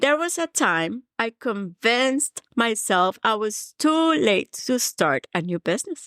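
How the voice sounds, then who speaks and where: A woman with a Colombian accent talks at a very slow pace with hardly any pauses, her fairly high voice swinging very widely in pitch, in a very clean recording with a silent background and a dry, close sound with no echo. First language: Spanish. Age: 50s. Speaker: podcast host, mindset coach. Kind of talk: motivational podcast monologue. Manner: warm, earnest.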